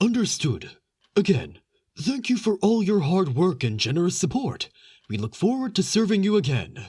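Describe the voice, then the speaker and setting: The speaker uses a put-on character voice at a middle pitch. The pitch swings very widely. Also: moderate pace. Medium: read story. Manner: polite, deferential.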